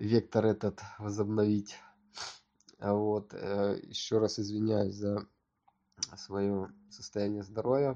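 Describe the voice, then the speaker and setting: A man's fairly low, dark, mellow voice in monotone, flat intonation at a very slow pace with long, frequent pauses. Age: 30s. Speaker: podcaster. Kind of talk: solo monologue. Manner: halting.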